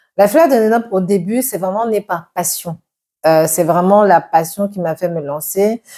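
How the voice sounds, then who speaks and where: Her tone is dark and mellow, with ordinary pitch variation. The woman speaks at a fairly slow pace. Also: medium pitch for a woman. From Cameroon. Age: 40s. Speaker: entrepreneur. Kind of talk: interview.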